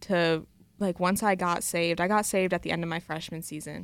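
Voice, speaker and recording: This woman has an ordinary speaking voice, fairly low in pitch, and talks at a fairly quick pace with an American accent. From Michigan (Coopersville). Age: young. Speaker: college athlete. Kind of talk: radio interview.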